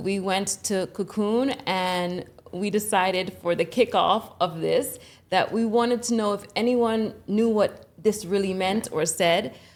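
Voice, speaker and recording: A woman's ordinary speaking voice, medium in pitch with fairly even intonation, on a very clean recording with a silent background. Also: fairly slow pace. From Jamaica, raised in the United States. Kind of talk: casual podcast conversation.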